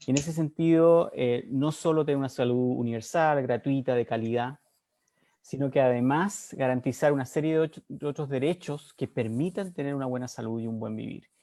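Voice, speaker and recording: A man speaks with a fairly high pitch and a dark, mellow tone. The recording is very clean, with a silent background. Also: ordinary pitch variation, moderate pace. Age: 60s. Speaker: political candidate. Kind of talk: debate opening statement. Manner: halting.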